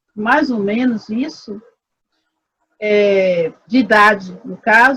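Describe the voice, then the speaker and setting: A woman is talking. Her pace is very slow. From Brazil, Salvador, Bahia. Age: 40s. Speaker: researcher in human ecology. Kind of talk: interview conversation. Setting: video call.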